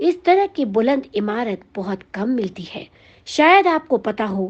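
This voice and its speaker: An ordinary speaking voice comes through here. Its intonation is lively. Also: woman. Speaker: radio jockey. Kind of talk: music history narration.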